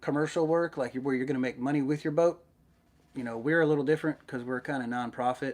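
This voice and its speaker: The speaker is a man with an American accent. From Middle Tennessee, US South. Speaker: YouTuber, underwater search diver. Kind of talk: live stream Q&A chat. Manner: casual, hesitant with many fillers.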